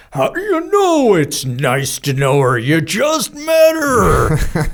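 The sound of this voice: In a put-on character voice, the speaker booms loudly at a middle pitch and a very slow pace.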